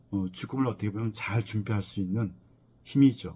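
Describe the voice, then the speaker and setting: A man's dark, mellow, somewhat breathy voice at a fairly low pitch, with lively intonation and a moderate pace. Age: 60s. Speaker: professor of death studies. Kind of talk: lecture. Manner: halting, with many fillers.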